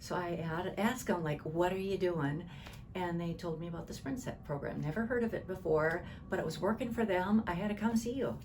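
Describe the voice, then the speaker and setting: The speaker goes at a fairly quick pace with ordinary pitch variation, amid noticeable background noise and audible room echo. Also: woman, fairly low pitch for a woman. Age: 60s. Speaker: client giving testimonial. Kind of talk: interview testimony. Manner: halting.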